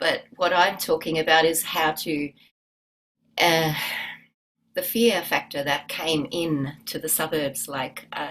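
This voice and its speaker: With an Australian accent, a woman speaks at a fairly low pitch. Her pace is fairly slow. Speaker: musician and yoga teacher. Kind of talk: interview. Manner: halting.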